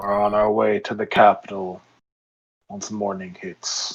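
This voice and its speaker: Putting on a character voice, a man speaks at a fairly slow pace in a fairly low pitch with monotone, flat intonation. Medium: actual play. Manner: calm.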